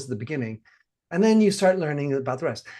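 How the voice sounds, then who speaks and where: A plain, everyday voice from a man, fairly high-pitched, with lively intonation, against a quiet background. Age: 60s. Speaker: podcast host and padel coach. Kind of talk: interview conversation.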